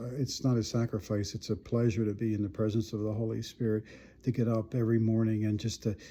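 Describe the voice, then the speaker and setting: With an American accent and a dark, mellow tone, the speaker talks at a fairly quick pace in monotone, flat intonation. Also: man. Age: 70s. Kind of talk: personal testimony monologue. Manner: halting, many repetitions.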